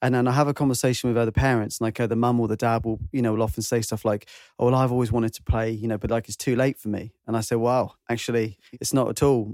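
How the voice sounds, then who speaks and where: A man speaks with a British accent. His pace is very fast. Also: medium pitch for a man, hardly any pauses, dry, close sound with no echo. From UK. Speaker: podcast host and musician. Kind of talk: casual chat. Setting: video call. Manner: animated.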